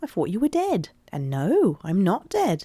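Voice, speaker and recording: Music plays in the background. A woman speaks at a medium pitch in a British accent. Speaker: YouTube video essayist. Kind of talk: casual commentary narration.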